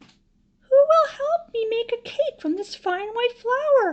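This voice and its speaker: A woman puts on a character voice that is squeaky and extremely high. She speaks at a very slow pace. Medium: read story. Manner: earnest, emphatic.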